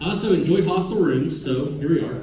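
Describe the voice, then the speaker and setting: A man speaks at a fairly quick pace, with noticeable background noise and audible room echo. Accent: American. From Oklahoma (Skiatook). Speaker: city attorney, former prosecutor. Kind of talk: public presentation to city council workshop. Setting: council chamber with audience, microphone. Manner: loud; casual, conversational.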